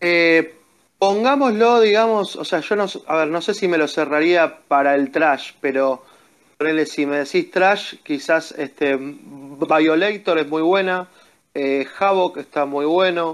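Here a man speaks at a very slow pace. His fairly high pitch shows ordinary variation. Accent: Rioplatense. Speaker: metal fan. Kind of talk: casual chat. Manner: halting, frequent repetitions.

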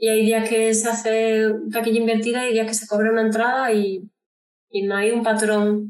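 A woman speaks in a plain, everyday voice. Her pitch is fairly high and her pace moderate. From Andalucía, Córdoba. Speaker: singer-songwriter. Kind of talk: interview.

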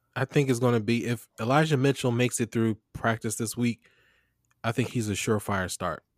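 This man has an ordinary speaking voice at medium pitch, with fairly even intonation and a fairly quick pace. The recording is very clean, with a silent background. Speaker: fantasy football podcast host. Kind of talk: casual chat. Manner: casual, conversational.

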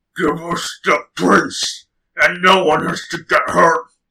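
A man puts on a guttural, raspy character voice and speaks at a fairly slow pace. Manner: menacing.

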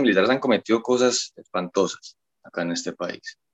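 In an ordinary speaking voice, a man talks at a moderate pace and medium pitch, the sound dry and close with no echo. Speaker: political commentator guest. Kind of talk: casual podcast discussion. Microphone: connection dropped, froze.

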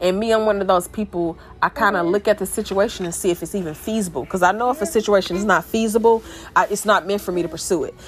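With music in the background, the speaker talks at a very fast pace with ordinary pitch variation. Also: woman, medium pitch for a woman. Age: 30s. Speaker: lawyer sharing life story. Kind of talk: personal motivational monologue. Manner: casual, rambling with fillers.

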